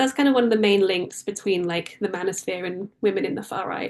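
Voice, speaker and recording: At a moderate pace, a woman with a British accent speaks at medium pitch with ordinary pitch variation. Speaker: author and freelance journalist. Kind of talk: book talk interview.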